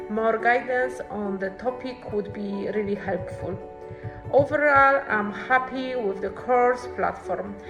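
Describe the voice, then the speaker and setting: The woman talks fairly slowly. Behind her, music is playing. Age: 30s. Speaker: accounting student. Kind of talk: student testimonial talk to camera.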